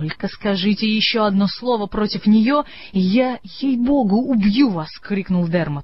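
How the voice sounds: Pitch moves in an ordinary way through a natural reading voice.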